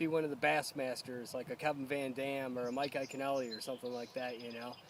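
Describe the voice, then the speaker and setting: A man speaks at a moderate pace. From upstate New York (Endwell). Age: 30s. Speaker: competitive angler. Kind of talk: casual personal interview. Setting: outdoors by a pond. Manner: halting, many fillers.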